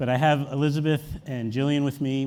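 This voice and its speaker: A man with an American accent talks at a fairly quick pace. His tone is dark and mellow. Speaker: media executive, panel moderator. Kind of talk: conference panel moderation.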